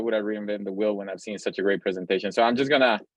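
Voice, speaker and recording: A man with a Spanish accent, fairly low pitch and fairly even intonation. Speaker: pediatric cardiac intensivist, lecturer. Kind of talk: lecture. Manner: fast; hesitant with fillers.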